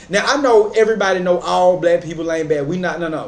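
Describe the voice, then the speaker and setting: With an American accent, a man talks at a very fast pace in a high pitch over noticeable background noise. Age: 30s. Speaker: commentary YouTuber. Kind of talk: reaction commentary. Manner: animated.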